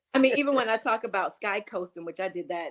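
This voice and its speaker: A woman is speaking. Her tone is animated. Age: 60s. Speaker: interior remodeler and entrepreneur. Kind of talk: interview conversation. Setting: podcast interview.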